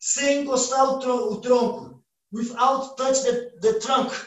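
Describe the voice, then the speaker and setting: The speaker has a Brazilian accent and a monotone, flat intonation at a very slow pace. The room echo is audible, but the background is quiet. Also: man. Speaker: martial arts instructor. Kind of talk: online class instruction. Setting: video call. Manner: halting in English. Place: home room. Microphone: camera far.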